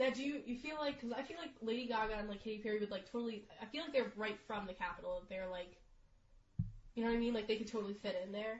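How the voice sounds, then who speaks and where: At a very fast pace, a woman speaks in a fairly high, somewhat breathy voice with ordinary pitch variation. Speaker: podcast co-host. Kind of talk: casual chat.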